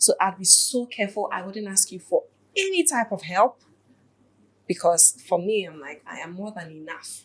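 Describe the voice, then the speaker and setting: A woman speaks at a moderate pace in a medium pitch, her voice somewhat breathy. Her loudness rises and falls in big swings. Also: ordinary pitch variation. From Ghana. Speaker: podcast co-host, entrepreneur. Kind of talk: casual conversation.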